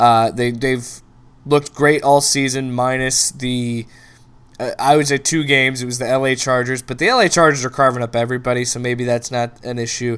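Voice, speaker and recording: An animated tone at a fairly quick pace. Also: man, medium pitch for a man. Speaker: sports show host. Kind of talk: sports commentary monologue. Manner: fast; animated, stumbling repetitions.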